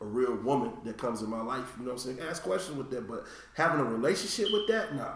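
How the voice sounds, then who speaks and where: Over noticeable background noise, a man at medium pitch talks at a very fast pace. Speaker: podcast host. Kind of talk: casual chat.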